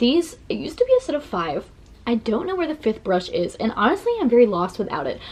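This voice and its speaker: This woman talks at a fairly quick pace in a high pitch. There is noticeable background noise. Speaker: beauty vlogger. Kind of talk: makeup tutorial vlog. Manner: fast; casual, chatty with many fillers.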